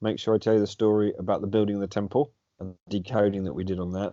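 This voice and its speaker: This man speaks with a British accent. His pitch is fairly low and his pace fairly quick. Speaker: alternative history debater, channel host. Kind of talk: casual chat. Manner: loud; animated.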